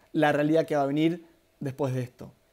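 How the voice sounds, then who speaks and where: In a Rioplatense accent, the speaker has a dark, mellow tone and fairly even intonation on a very clean recording with a silent background. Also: man. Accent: Argentine Rioplatense Spanish. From Argentina. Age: 30s. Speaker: spiritual workshop leader, therapist. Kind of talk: live-streamed workshop talk. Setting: live stream, two cameras. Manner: fast; hesitant fillers.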